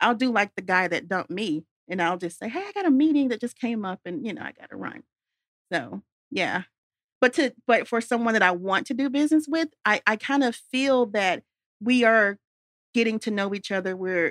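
A woman's ordinary speaking voice, fairly quick with lively intonation, in a dry, close sound with no echo on a very clean recording with a silent background. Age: young. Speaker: golf business founder. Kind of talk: interview. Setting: studio.

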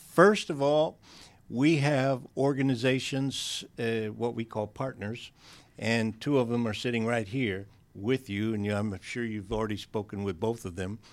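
A man's plain, everyday voice at medium pitch and a fairly slow pace, with ordinary pitch variation, in a very clean recording over a silent background. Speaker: government small business official. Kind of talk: radio interview. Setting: studio.

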